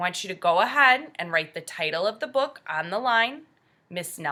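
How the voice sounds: In a natural reading voice, the delivery has lively intonation.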